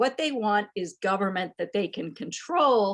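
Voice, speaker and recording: A woman talks in a normal speaking voice at a medium pitch and moderate pace, her intonation lively. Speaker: history professor. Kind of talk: panel discussion talk. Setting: video call.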